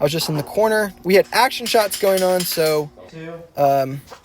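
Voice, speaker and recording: Over noticeable background noise, a man talks at a fairly slow pace. His intonation is lively. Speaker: videographer / camera operator. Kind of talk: vlog-style behind-the-scenes narration. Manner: enthusiastic.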